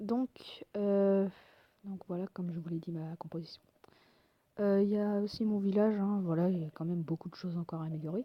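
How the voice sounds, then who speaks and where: In a dry, close sound with no echo, a woman with a dark, mellow tone talks at a fairly quick pace broken by long, frequent pauses. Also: medium pitch for a woman, fairly even intonation. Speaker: gaming video creator. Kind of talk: casual gameplay commentary. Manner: hesitant, many fillers.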